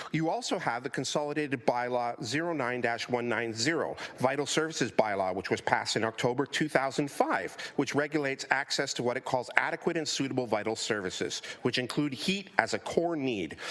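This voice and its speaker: There is noticeable background noise as a man speaks at a fairly quick pace with a Canadian accent. His voice is medium-pitched, with ordinary pitch variation. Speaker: community advocate delegate. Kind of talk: public delegation speech. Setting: council committee meeting. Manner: fast.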